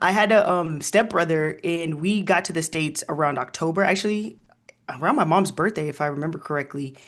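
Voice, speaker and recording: A woman speaks at a fairly low pitch and a fairly quick pace. Her pitch variation is ordinary, and the background is quiet. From Kenya (Nairobi-type city), moved to US at seven. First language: Luo/Swahili (English third language). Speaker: historian. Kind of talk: interview conversation. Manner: animated.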